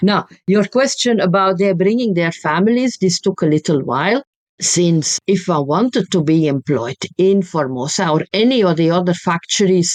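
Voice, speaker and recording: A Flemish accent at a moderate pace, with lively intonation and a dry, close sound with no echo. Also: woman. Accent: Flemish Dutch accent in English. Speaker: history professor. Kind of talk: interview.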